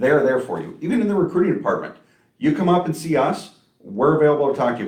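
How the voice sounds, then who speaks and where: Lively intonation marks a man's fairly high voice, delivered very fast against audible room echo. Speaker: trucking company recruiter. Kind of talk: live stream Q&A chat. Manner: loud; talkative.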